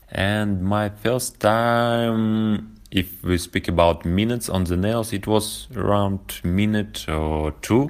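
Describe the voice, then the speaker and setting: At a very slow pace, a man with a Russian accent speaks in a fairly low voice with ordinary pitch variation, on a very clean recording with a silent background. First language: Russian (speaking German). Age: 30s. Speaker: nail-board practice entrepreneur. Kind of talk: interview. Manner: halting.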